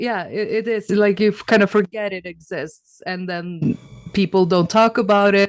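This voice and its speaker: In an unremarkable speaking voice of medium pitch, a woman talks at a moderate pace with fairly even intonation. The sound is dry and close, with no echo. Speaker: interview guest. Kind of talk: casual chat.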